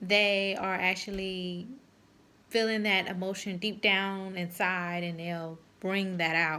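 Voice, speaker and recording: Medium-pitched woman's voice, bright and sharp in tone, monotone and flat, at a very slow pace with audible room echo. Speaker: counseling student. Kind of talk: video blog reflection. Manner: halting.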